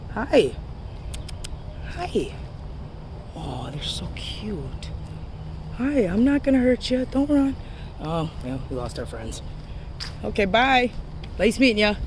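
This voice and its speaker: A woman at a very slow pace with long, frequent pauses and big swings in loudness, amid noticeable background noise and audible room echo. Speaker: paranormal investigator vlogger. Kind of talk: casual vlog walkthrough. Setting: outdoors. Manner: casual, chatty.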